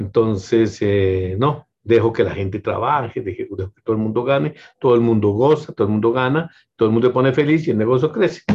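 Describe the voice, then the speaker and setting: A man speaks fairly quickly at a medium pitch, somewhat breathy and with ordinary pitch variation. His loudness rises and falls in big swings. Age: 60s. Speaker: business owner. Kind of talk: interview. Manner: halting, many fillers and repetitions.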